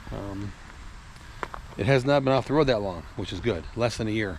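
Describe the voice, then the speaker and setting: This man talks at a fairly quick pace. His pitch sits in the medium range, with ordinary variation. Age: 60s. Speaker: classic car collector and mechanic vlogger. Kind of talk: casual vlog talk to camera. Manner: rambling, filler-heavy (uh, um).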